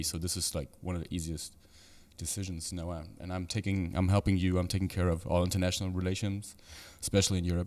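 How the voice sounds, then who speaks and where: Very fast and fairly even in intonation, a man with a very deep, low pitch speaks in a very clean recording with a silent background. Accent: German. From Germany (Frankfurt). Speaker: entrepreneur. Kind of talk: casual chat.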